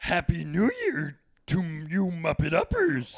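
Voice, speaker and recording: A put-on character voice at a middle pitch, delivered at a fairly slow pace. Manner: inverted odd phrasing.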